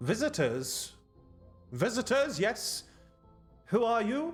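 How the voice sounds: With faint music behind him, a man puts on a robotic character voice, high-pitched and fairly slow.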